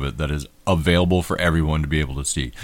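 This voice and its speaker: Vocal fry runs through the voice of a man with an American accent who talks at a very fast pace. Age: middle-aged. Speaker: podcast host. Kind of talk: casual banter. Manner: joking, irreverent.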